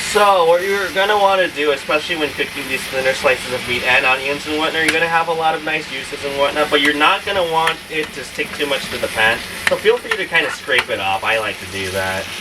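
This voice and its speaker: The speech comes at a very fast pace with hardly any pauses. Noticeable background noise sits behind it. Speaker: cooking vlogger. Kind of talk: cooking tutorial. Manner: casual, filler-heavy.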